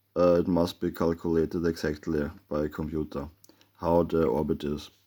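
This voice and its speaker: A man's very deep, low, dark and mellow voice with a non-native accent, at a moderate pace, on a very clean recording with a silent background. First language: German. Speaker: amateur theorist, video maker. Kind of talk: explanatory monologue with drawing. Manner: halting, many filler sounds.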